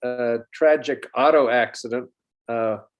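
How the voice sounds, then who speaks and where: Each word from the man comes very slowly. There is little movement in his intonation, which stays fairly even. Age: 70s. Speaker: interview guest sharing childhood loss. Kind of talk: personal testimony. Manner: halting, many fillers.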